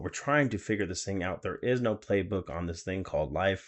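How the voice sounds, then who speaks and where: A man speaks at a fairly quick pace and fairly low pitch. His intonation is lively. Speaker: podcast co-host; teacher. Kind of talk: casual chat. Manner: loud.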